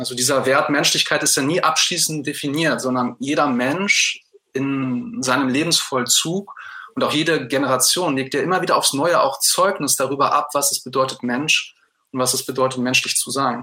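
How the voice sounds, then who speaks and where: The man speaks at a moderate pace. His pitch is fairly high for a man, with ordinary pitch variation. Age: 30s. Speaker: secondary school teacher. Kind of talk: interview. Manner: hesitant, with fillers.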